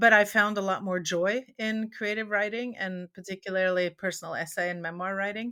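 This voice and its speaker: This woman has a Norwegian accent, a bright, sharp tone, and fairly even intonation. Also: very clean recording, silent background. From Norway. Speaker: memoirist and former academic. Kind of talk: interview conversation.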